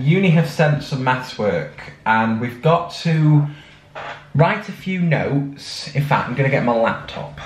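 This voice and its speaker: A man with a Mancunian accent, fairly high pitch, lively intonation and a very slow pace, plus audible room echo. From Manchester, UK. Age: young. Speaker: student vlogger. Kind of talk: casual vlog talk to camera.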